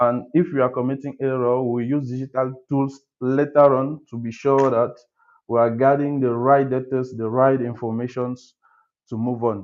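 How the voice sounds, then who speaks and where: A man with a slight French accent speaks in a flat monotone at a medium pitch. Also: moderate pace. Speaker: architect, webinar speaker. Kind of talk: webinar presentation. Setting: video call webinar. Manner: halting, many fillers.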